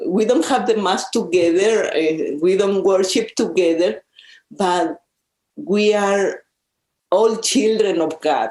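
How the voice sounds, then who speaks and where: A woman with a Mexican accent, medium pitch and ordinary pitch variation, at a very slow pace with very even loudness. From central Mexico. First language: Spanish. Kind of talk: interview conversation. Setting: in-person conversation at a social service agency office. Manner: halting, with repetitions.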